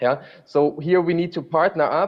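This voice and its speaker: A man talks at a moderate pace in a normal speaking voice with fairly even intonation. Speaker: rail freight program manager. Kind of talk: panel discussion. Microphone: hears own audio echo.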